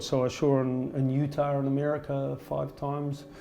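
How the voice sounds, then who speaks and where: A man with a New Zealand accent speaks at a fairly high pitch, and the room echo is audible. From rural New Zealand. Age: 60s. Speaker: yoga teacher. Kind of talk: interview. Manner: halting, with fillers and repetitions.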